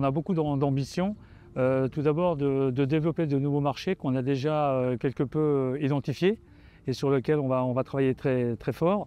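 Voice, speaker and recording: A man's fairly high voice at a moderate pace, with ordinary pitch variation and very even loudness. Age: 60s. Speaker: company director. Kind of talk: interview. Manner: halting, many hesitations.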